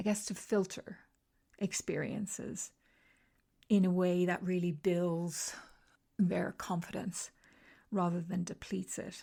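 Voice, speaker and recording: Somewhat breathy, a woman speaks in a monotone, flat intonation. Her speech has long, frequent pauses. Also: medium pitch for a woman. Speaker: podcast host and confidence coach. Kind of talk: solo podcast monologue. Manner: conversational with fillers.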